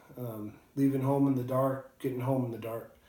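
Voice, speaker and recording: There is audible room echo as a man speaks with monotone, flat intonation. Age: 30s. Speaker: whiskey reviewer, construction worker. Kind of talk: casual video review. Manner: hesitant, many fillers.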